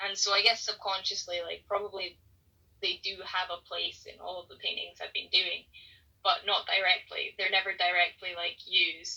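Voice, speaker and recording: Speaking at a moderate pace with a Scottish accent, a woman shows big swings in loudness. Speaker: painter. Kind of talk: casual chat. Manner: hesitant, many fillers.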